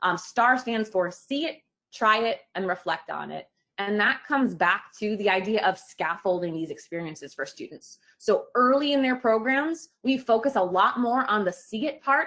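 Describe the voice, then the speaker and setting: Lively intonation marks a woman's fairly high voice, which has a bright, sharp tone. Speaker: teacher educator. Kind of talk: webinar presentation. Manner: fast.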